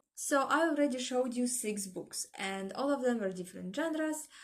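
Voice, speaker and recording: Her voice somewhat breathy, a woman speaks with lively intonation. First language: not English. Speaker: book vlogger. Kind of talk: casual vlog chat.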